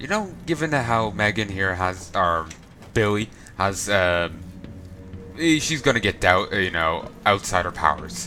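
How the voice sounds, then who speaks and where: Speaking in an Irish accent at a fairly slow pace, the voice makes very wide pitch swings. Music plays in the background. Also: man, fairly low pitch for a man. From Ireland. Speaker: let's play gamer. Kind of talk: casual gameplay commentary.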